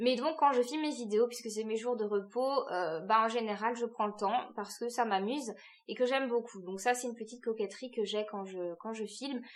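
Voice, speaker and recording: A woman talks at a fairly quick pace with a slight Alsatian accent. Her pitch is fairly high, with ordinary pitch variation. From France, Alsace. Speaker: book youtuber. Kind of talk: casual vlog talk to camera. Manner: hesitant, many fillers.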